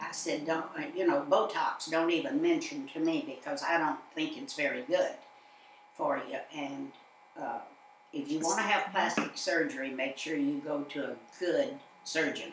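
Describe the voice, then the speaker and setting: Against noticeable background noise, a woman with a fairly low voice talks at a moderate pace, her pitch swinging very widely. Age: 80s+. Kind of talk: interview answer.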